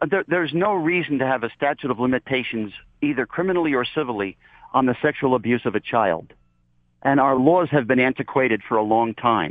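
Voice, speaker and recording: A man with a plain, everyday voice moves at a fairly quick pace, lively in intonation and very even in loudness. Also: medium pitch for a man. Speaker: activist. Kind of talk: radio interview.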